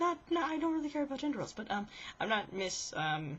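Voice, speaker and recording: Lively intonation runs through this somewhat breathy voice. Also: woman. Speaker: vlogger. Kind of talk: casual vlog. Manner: rambling.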